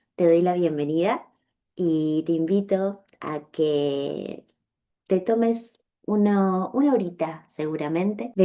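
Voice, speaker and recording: A woman speaks in a calm, gentle tone that is also dark and mellow, at a medium pitch with ordinary pitch variation. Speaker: podcast host, animal communicator. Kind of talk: personal storytelling podcast. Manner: slow.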